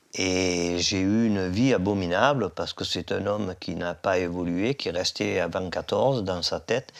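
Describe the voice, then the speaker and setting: A man's very deep, low voice at a fairly slow pace, on a very clean recording with a silent background. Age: 70s. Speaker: heir. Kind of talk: testimony.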